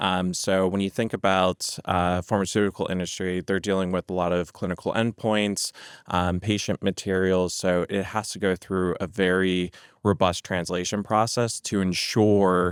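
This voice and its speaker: In a very clean recording with a silent background and a dry, close sound with no echo, a man with an American accent speaks at a moderate pace in a very deep, low voice with monotone, flat intonation. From United States. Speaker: healthcare language services executive. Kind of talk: podcast interview. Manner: frequent filler words (um).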